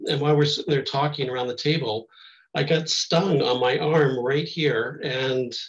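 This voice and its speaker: A man speaks in a somewhat breathy voice at a fairly high pitch. His intonation is fairly even and his pace moderate. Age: 60s. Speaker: near-death experience survivor. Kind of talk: testimony. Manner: halting.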